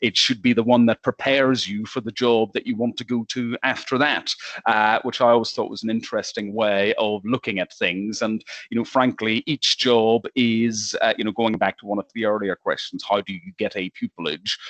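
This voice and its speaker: Man with an Irish accent at a medium pitch, hardly any pauses, in a dry, close sound with no echo. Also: fairly even intonation, moderate pace. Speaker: lawyer. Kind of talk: panel discussion. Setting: video call. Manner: hesitant, with fillers.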